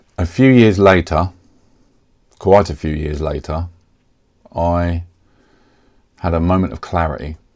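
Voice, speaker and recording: Speaking fairly slowly with a southeast English accent, a man with a very deep, low pitch shows ordinary pitch variation, big swings in loudness and long, frequent pauses. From Kent, England. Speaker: software developer. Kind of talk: casual talk to camera.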